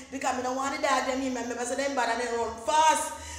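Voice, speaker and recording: A woman with a Jamaican accent talks in an animated tone at a high pitch over noticeable background noise. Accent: Jamaican Patois. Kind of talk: comic storytelling to camera. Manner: animated, humorous.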